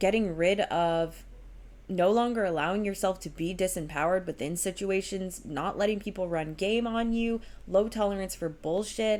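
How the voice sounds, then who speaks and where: A woman with an unremarkable speaking voice, medium in pitch with ordinary pitch variation, at a moderate pace. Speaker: tarot reader. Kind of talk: tarot reading monologue. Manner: casual, filler-heavy.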